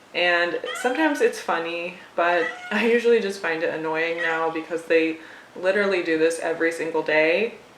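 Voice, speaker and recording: With noticeable background noise present, the woman talks fairly quickly at a fairly low pitch, her pitch varying in an ordinary way. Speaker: cat owner and pet vlogger. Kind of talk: casual talk to camera.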